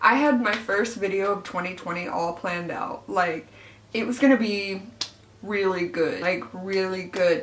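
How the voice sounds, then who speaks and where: The voice moves at a moderate pace with ordinary pitch variation, while audible room echo and noticeable background noise fill the recording. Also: woman, medium pitch for a woman. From Arkansas, US South. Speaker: beauty YouTuber. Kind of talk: casual get-ready-with-me vlog. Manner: chatty with frequent fillers.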